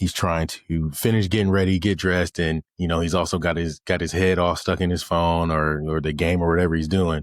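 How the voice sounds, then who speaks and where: A man's very deep, low voice at a fairly quick pace, monotone and flat in intonation, very even in loudness, on a very clean recording with a silent background. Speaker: podcast host. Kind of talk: motivational talk. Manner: casual.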